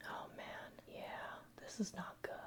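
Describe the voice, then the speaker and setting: The voice whispers in a calm tone. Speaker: ASMR roleplay performer playing an airplane mechanic. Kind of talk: ASMR roleplay, personal attention. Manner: soft-spoken, whispered, calm.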